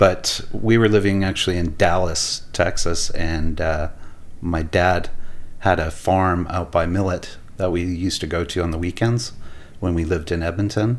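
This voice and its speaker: A man with a Canadian accent, a very deep, low voice, fairly even intonation, and audible room echo. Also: moderate pace. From Alberta, Canada. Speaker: architect and restaurateur. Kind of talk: casual chat. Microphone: too far from mic.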